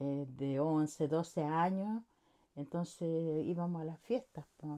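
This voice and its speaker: This voice has a dark, mellow tone and moves at a very slow pace. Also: woman. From Chile, Santiago. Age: 60s. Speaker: interviewee, worker's wife. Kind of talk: interview.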